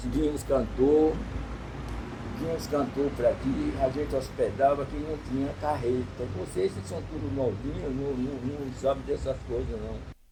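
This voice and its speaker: Noticeable background noise and audible room echo surround a man's voice. He speaks at a fairly slow pace with big swings in loudness. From Bahia, Brazil (interior, Ipirá). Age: 80s+. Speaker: elderly shelter resident, retired driver. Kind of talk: interview. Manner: hard to understand.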